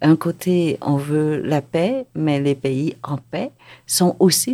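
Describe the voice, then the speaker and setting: A woman with a very deep, low pitch speaks in a dark, mellow tone with lively intonation on a very clean recording with a silent background. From Vietnam, raised in Quebec from age ten. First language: Vietnamese (speaking Chinese). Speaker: novelist. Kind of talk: interview. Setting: studio.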